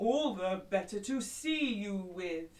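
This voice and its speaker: A put-on character voice, growling at a fairly high pitch and a fairly slow pace. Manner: menacing, playful.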